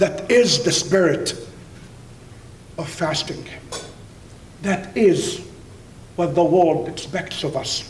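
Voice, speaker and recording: A man with a high pitch speaks at a very slow pace, leaving long, frequent pauses. His voice carries audible room echo over noticeable background noise. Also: ordinary pitch variation. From Middle East (Palestinian Jordanian). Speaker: university professor and speaker. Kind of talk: keynote speech. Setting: dinner event with audience. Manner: emphatic, repetitive.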